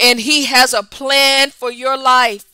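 This woman's voice is high-pitched, bright and sharp in tone. She talks at a very slow pace with a raised, projected voice. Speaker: prayer broadcaster. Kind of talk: fervent prayer, speaking in tongues and loud intercession. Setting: online broadcast, addressing viewers. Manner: impassioned, rhythmic, fervent; repetitive call-and-response exhortation.

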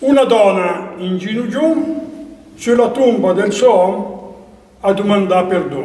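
A man talks at a very slow pace in a high pitch, with lively intonation. Background noise is noticeable. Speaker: dialect poet. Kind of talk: introducing his own poem.

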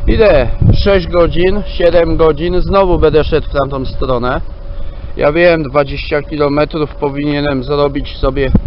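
A man speaks at a very slow pace. There is noticeable background noise, though the sound is dry with no echo. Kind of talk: casual vlog chat. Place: waterside. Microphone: phone near.

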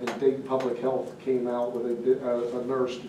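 In a monotone, flat voice, a man speaks amid audible room echo and light background noise. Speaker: township official giving fire department report. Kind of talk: meeting report. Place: meeting room. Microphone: camera far.

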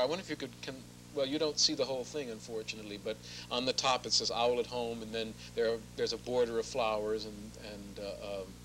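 Someone talks at a very fast pace over light background noise. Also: man. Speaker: guest. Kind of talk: interview answer.

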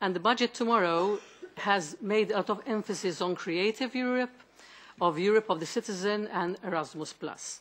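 At a moderate pace, a woman speaks with a Maltese accent and ordinary pitch variation. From Malta. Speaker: member of European Parliament. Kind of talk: committee hearing question. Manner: halting. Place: meeting room. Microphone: podium.

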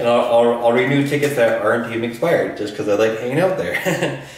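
Audible room echo surrounds the voice. A man talks at a fairly quick pace. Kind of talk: casual vlog chat, storytelling. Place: home room. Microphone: camera far.

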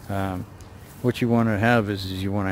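This man's voice is fairly low in pitch, with fairly even intonation.

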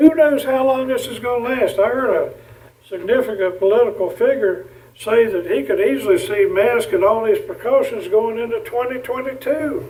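At a moderate pace, a man with a North Carolina accent speaks at an extremely high pitch with very wide pitch swings, amid audible room echo and noticeable background noise. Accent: Southern US (North Carolina). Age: 70s. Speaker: county commissioner. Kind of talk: public board meeting remarks. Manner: impassioned.

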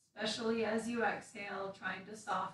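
A woman speaks at a fairly high pitch. The room echo is audible. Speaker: meditation instructor. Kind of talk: guided meditation and gentle movement class, calm and instructive. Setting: video livestream to online audience. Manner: calm, soothing, slow-paced; casual, chatty with filler words in intro. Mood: calm, soothing. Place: home room. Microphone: camera far.

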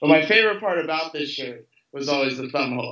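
A man with an American accent speaks at a fairly quick pace in a fairly high pitch, with ordinary pitch variation and audible room echo. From Louisville, Kentucky, USA. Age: 20s. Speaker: fashion model. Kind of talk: interview answer. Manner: casual, relaxed. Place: home room. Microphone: video call.

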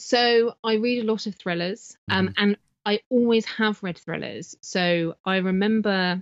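The speech comes at a fairly slow pace with fairly even intonation, in a southern English accent. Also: woman, medium pitch for a woman. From southern England, Wiltshire near Salisbury. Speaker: author. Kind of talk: casual interview chat. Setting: remote call from home office.

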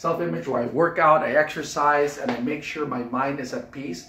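A man talks at a moderate pace, with audible room echo and light background noise around him. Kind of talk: casual tour chat. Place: office.

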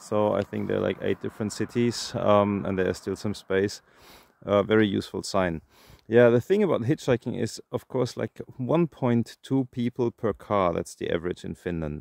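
In an unremarkable speaking voice, a man talks at a moderate pace and fairly low pitch with ordinary pitch variation, the sound dry with no echo over a quiet background. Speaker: hitchhiker vlogger. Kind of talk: casual vlog chat. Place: street. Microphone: phone near.

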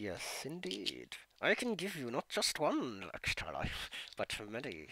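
At a fairly slow pace, a man does a put-on character voice in a medium pitch. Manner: menacing.

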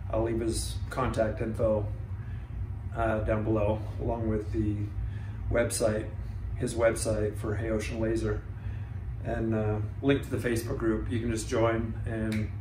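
Long, frequent pauses break up a man's fairly slow speech. Audible room echo and light background noise are present. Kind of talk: casual vlog chat. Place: garage.

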